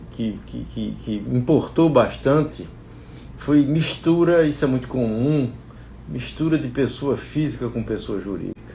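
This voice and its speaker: A man talking at a very slow pace, with audible room echo. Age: 70s. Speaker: agronomist and investing channel owner. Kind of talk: personal talk to viewers. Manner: halting, many repetitions.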